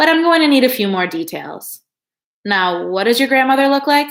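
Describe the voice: In a put-on character voice, a woman speaks high and nasal at a fairly quick pace with very wide pitch swings.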